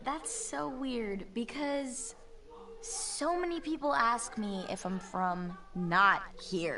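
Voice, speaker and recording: A woman with a fairly high pitch at a very slow pace, her voice swinging very widely in pitch, with audible room echo and noticeable background noise. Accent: American. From California, San Fernando Valley. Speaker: voice actor. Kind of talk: casual chat.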